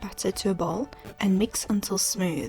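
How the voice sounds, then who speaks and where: With music playing in the background, a woman speaks at a medium pitch in a South African accent. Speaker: home baker, food YouTuber. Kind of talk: cooking tutorial narration.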